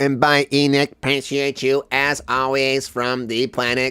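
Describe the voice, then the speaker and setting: In a put-on character voice, the speaker takes a playful tone with monotone, flat intonation at a moderate pace. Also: man, medium pitch for a man. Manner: putting on a playful alien voice.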